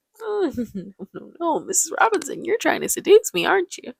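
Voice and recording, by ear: A woman does a put-on character voice at an extremely high pitch, her tone leaping across a very wide range and her loudness rising and falling sharply, at a moderate pace in a dry, close recording with no echo.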